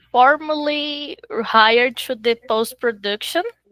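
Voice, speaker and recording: At a very slow pace, a raised, projected voice with a bright, sharp tone and ordinary pitch variation sounds dry and close, with no echo. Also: woman. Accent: Portuguese. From Brazil. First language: Portuguese. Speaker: film assistant director. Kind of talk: interview. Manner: halting.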